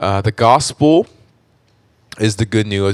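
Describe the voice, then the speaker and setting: In a very clean recording with a silent background and a dry, close sound with no echo, a man with an American accent speaks. He has a normal speaking voice, fairly low in pitch, with ordinary pitch variation. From US West Coast, Orange County, California. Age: 30s. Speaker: church member sharing testimony. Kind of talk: testimony. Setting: studio.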